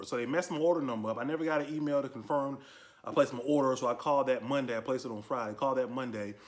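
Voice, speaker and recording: A man speaks at a very fast pace. His pitch is medium, with ordinary variation. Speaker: gun review youtuber. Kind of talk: product review. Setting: garage. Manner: casual. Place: garage. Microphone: phone near.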